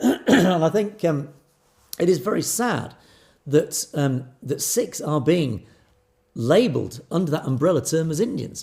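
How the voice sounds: A man uses a put-on character voice, hoarse and fairly high in pitch, with very wide pitch swings. He goes at a fairly slow pace with long, frequent pauses.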